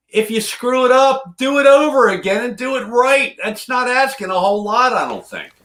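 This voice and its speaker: Barely pausing, a man talks at a moderate pace with an animated tone and an extremely high pitch. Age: old. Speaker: guitar hobbyist co-host. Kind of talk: casual chat.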